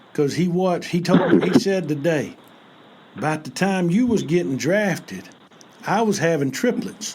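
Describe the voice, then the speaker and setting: A man with a Southern US accent speaks at a moderate pace in a high pitch, his intonation lively. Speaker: basketball podcast host. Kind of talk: casual podcast chat. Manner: animated.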